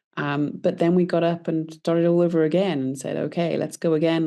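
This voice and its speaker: A woman's dark, mellow tone with fairly even intonation over a quiet background. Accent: British. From UK. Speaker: entrepreneur. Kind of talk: interview. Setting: podcast.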